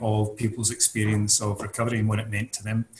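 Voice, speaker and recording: Speaking with a Scottish accent, a man holds a medium pitch in a monotone, flat intonation. Noticeable background noise runs underneath. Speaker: mental health recovery expert. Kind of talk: interview.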